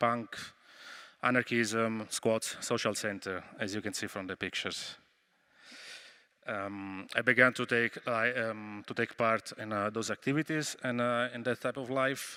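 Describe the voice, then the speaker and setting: A man with an Italian accent, medium pitch, a bright, sharp tone, fairly even intonation and a moderate pace, in a very clean recording with a silent background. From Italy, Rome. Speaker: activist. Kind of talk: conference talk. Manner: hesitant, many fillers.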